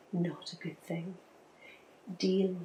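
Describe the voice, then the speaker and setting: A soft-spoken woman talks very slowly at a fairly low pitch with monotone, flat intonation. Music plays in the background. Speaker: ASMR creator. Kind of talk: ASMR relationship talk. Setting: rain in background.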